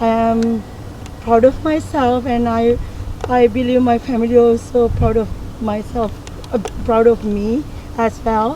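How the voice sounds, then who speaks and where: A woman with a non-native accent and a fairly high pitch speaks in a flat monotone, with long, frequent pauses and noticeable background noise. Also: fairly slow pace. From Sri Lanka. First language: not English. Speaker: community college graduate. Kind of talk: testimony.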